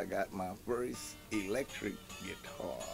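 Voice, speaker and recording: Clear music plays in the background as a man with a New Orleans accent speaks with ordinary pitch variation. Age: 70s. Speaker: musician. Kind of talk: interview answer. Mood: warm, reminiscing.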